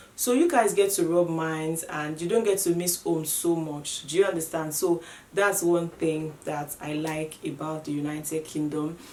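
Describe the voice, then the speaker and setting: A woman with a Nigerian accent speaks at a moderate pace with hardly any pauses, in a fairly low pitch and fairly even intonation, amid noticeable background noise and audible room echo. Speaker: vlogger. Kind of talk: casual vlog talk to camera.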